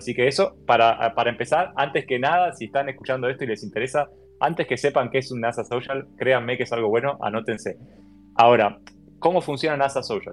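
A man with an Argentine accent talks at a fairly quick pace, with medium pitch and ordinary pitch variation. Music plays in the background. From Argentina. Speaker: software engineer and space enthusiast. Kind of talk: casual interview. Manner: hesitant, repeats words.

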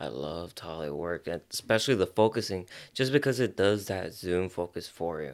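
With an American accent, the speaker talks at a fairly quick pace with lively intonation and big swings in loudness, on a very clean recording with a silent background. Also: man, very deep, low pitch for a man. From Los Angeles area, US (Azusa). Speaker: photographer. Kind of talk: casual chat.

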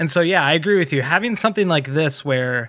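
The man's tone is bright and sharp. He moves along fairly quickly. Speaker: gaming podcast co-host. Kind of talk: casual chat.

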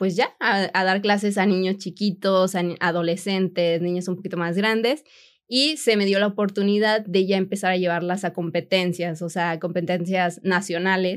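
A woman speaks at a moderate pace in an ordinary speaking voice, medium in pitch with fairly even intonation and hardly any pauses. The recording is very clean, with a silent background. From Mexico, Monterrey. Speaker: sports nutritionist and content creator. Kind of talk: interview conversation.

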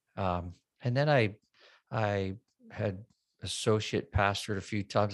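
In a very clean recording with a silent background, a man talks at a fairly slow pace with long, frequent pauses. His pitch is fairly low and his intonation fairly even. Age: 50s. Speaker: worship pastor. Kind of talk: casual chat.

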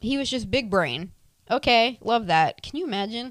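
On a very clean recording with a silent background, a woman with an American accent speaks at a moderate pace, animated in tone and lively in intonation. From US South, Tampa, Florida. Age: 20s. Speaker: podcast host. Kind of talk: casual solo Q and A chat. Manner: animated, laughing.

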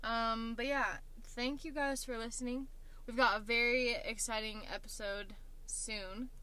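Speaking fairly slowly with an American accent, a woman uses a high pitch, a bright, sharp tone and fairly even intonation, with audible room echo around her. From Oklahoma. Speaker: podcast co-host. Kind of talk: casual chat. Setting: in a car.

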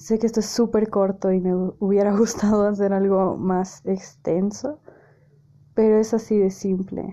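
Speaking at a fairly slow pace, a woman with a medium pitch has a dark, mellow tone, monotone, flat intonation and very even loudness. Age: 20s. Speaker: podcast host. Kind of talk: casual monologue.

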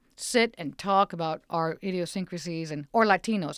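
An unremarkable speaking voice from a woman, fairly even in intonation, in a very clean, dry, close recording with no echo and a silent background. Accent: American. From Mexican heritage, US. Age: 50s. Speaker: stand-up comedian. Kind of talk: interview.

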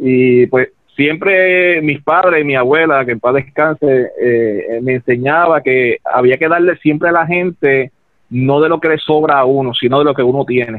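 This man speaks with a Puerto Rican accent. His pitch is fairly high, with ordinary pitch variation. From Ponce, Puerto Rico. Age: 30s. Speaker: political candidate. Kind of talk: political interview. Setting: phone call. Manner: hesitant, repeats words.

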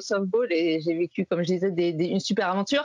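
The recording is dry and close, with no echo. A woman talks at a very fast pace. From France, Saint-Étienne. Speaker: baseball podcaster and card collector. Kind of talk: interview.

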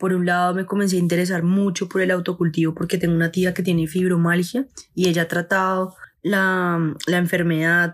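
The delivery moves at a fairly quick pace with very even loudness. Intonation stays monotone and flat. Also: woman, fairly low pitch for a woman. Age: 20s. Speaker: cannabis grower and content creator. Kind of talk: personal testimony.

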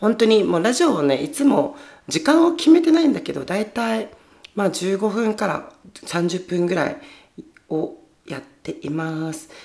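Her pitch is medium, and it swings very widely as the woman talks at a moderate pace. Noticeable background noise can be heard. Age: 20s. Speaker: podcast host. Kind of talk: casual chat. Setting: home storage room, livestreaming while recording. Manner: animated.

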